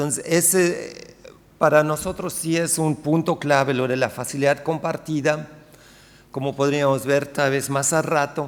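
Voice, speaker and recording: A man with a non-native accent speaks at a fairly high pitch. His pace is fairly slow and his intonation monotone and flat. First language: not Spanish (speaking Spanish). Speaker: sociolinguistics researcher. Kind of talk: conference talk. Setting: lecture hall with audience. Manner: hesitant, many fillers.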